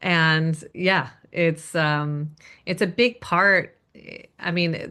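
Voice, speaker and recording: A woman with an American accent speaks at a very slow pace in a fairly low pitch, with ordinary pitch variation. The background is quiet. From US. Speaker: singer. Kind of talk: casual interview.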